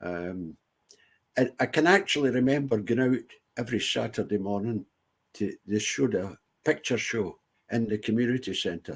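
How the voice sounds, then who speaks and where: In a Scottish accent, a man speaks at a moderate pace with lively intonation and long, frequent pauses. The recording is very clean, the background silent. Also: medium pitch for a man. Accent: Scottish (Ayrshire). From Scotland, Ayr. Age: 70s. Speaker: veteran entertainer. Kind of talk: interview.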